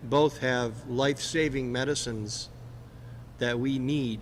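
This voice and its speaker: A man speaks at a very slow pace with fairly even intonation. Audible room echo can be heard. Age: 60s. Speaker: senior citizen patient. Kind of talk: personal testimony. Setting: press conference. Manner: halting, slight word-finding difficulty.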